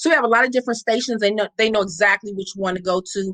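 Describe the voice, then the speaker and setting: A loud, bright, sharp woman's voice with an American accent, in a dry, close sound with no echo. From Compton, Los Angeles, US. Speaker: founder of homeless charity. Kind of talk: interview.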